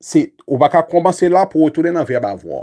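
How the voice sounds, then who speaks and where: A man's dark, mellow voice, pitched fairly high. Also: quiet background. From Haiti. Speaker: English teacher. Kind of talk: lecture. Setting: YouTube livestream. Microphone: phone near.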